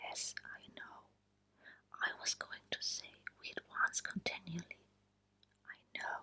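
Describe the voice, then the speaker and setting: Over noticeable background noise, someone whispers in a soothing tone at a very slow pace. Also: woman. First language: German. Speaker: ASMR creator. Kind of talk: short story reading. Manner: whispered, soothing.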